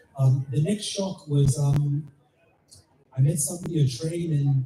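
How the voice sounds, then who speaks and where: This man's voice sits at a fairly high pitch. It comes across as somewhat breathy. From Nigeria. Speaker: author. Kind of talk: book launch talk. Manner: halting, many fillers and repetitions.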